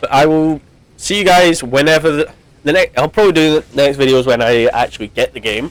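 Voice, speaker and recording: At a fairly quick pace, the speaker talks with ordinary pitch variation. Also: man, fairly high pitch for a man. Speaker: gaming YouTuber. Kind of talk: gameplay commentary. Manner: halting, many false starts; loud.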